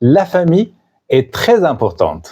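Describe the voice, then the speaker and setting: Very slow delivery from a man with a dark, mellow tone and very wide pitch swings. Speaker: French teacher podcaster. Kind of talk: scripted narration for language learners. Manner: clear, simple.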